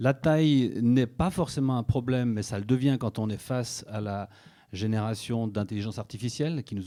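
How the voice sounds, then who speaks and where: A man with a slight Swiss French accent speaks at a fairly slow pace, his dark, mellow tone sitting at a medium pitch with ordinary pitch variation. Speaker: media executive at a broadcaster. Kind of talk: conference talk.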